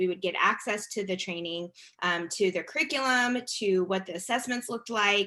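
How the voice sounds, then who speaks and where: A woman at a medium pitch, with a bright, sharp tone and a fairly quick pace. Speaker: education policy expert. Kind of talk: webinar presentation.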